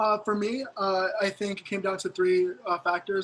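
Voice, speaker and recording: A man speaks in a high voice. His intonation is flat and monotone. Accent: American. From Maryland. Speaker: university student panelist. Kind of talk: panel Q&A.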